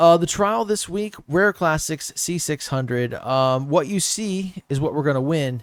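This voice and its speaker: A fairly high-pitched man with a slight Southern accent, lively intonation and hardly any pauses. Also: fairly slow pace. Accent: slight southern twang. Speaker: gaming YouTuber. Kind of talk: gameplay commentary. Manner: casual, conversational.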